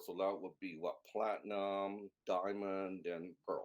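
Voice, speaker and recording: With a Canadian accent, a man talks in an ordinary speaking voice, fairly low in pitch, at a fairly slow pace. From Canada. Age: 60s. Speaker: video game translator. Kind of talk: interview.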